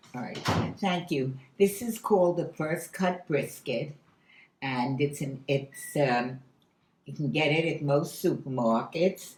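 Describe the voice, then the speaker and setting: Speaking at a fairly slow pace, a woman with a very deep, low, somewhat breathy voice shows ordinary pitch variation. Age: 90s. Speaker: home cook. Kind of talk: cooking demonstration. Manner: halting.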